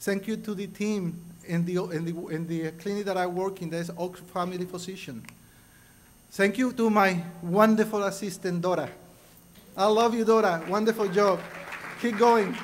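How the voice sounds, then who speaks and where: A man speaks with a Spanish accent and a high pitch. He leaves long, frequent pauses. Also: fairly even intonation, moderate pace. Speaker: award recipient. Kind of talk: acceptance speech.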